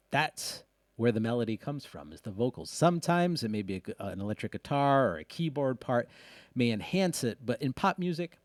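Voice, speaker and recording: The speech runs at a fairly quick pace with very wide pitch swings, captured as a dry, close sound with no echo on a very clean recording with a silent background. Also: man, big swings in loudness. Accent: slight Rhode Island. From US Northeast, Rhode Island. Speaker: music producer and audio engineer. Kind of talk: tutorial. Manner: casual, with fillers and self-corrections.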